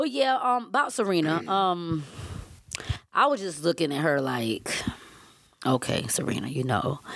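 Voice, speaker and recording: In a Southern US accent, a woman speaks at a moderate pace with long, frequent pauses. Her pitch swings very widely. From Savannah, Georgia.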